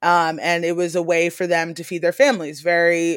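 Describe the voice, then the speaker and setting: On a very clean recording with a silent background, a woman with an unremarkable speaking voice and an American accent talks at a moderate pace and a fairly low pitch. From Maryland Eastern Shore. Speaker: aquaculture nonprofit founder. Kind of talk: interview.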